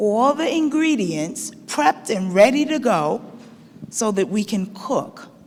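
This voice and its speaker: Spoken at a very slow pace with lively intonation, the voice comes through audible room echo and noticeable background noise. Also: woman. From Barbados, grew up in Brooklyn. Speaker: chef and culinary educator. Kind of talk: conference talk. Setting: stage with audience. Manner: lively, engaging with audience.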